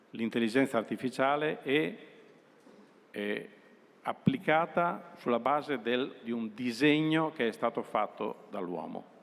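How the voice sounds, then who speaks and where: At a medium pitch, a man speaks with lively intonation. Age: 60s. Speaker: utility company executive. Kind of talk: presentation to students.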